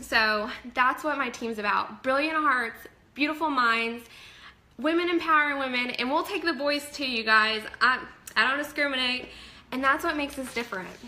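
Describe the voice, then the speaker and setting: A raised, projected voice with an animated tone speaks at a moderate pace with ordinary pitch variation. Audible room echo and noticeable background noise surround it. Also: woman, high pitch for a woman. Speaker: network marketing fitness coach. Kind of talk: live stream talk to viewers. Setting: live video stream from home office.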